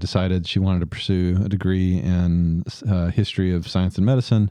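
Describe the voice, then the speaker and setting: A man with a Southern US accent speaks at a moderate pace in a dark, mellow tone. The sound is dry and close with no echo, over a quiet background. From US South, Tupelo, Mississippi. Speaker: dentist running a community clinic. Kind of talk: interview.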